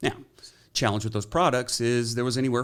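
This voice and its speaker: A man speaks with an American accent. The recording is very clean, with a silent background. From Texas. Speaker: real estate investment professional. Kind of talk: podcast interview. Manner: fast.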